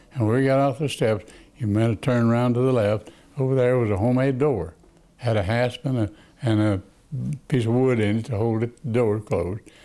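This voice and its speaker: Over a very clean, silent background, a man with a Texan accent and a dark, mellow tone talks at a fairly quick pace and medium pitch with ordinary pitch variation. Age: 80s+. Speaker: attorney. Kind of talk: interview answer.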